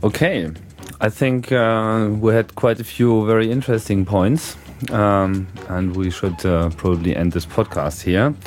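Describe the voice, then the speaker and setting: Speaking with a German accent, a man uses a fairly low pitch and ordinary pitch variation at a fairly slow pace. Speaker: podcast host. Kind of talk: interview. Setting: live at a hacker conference. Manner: hesitant, many fillers.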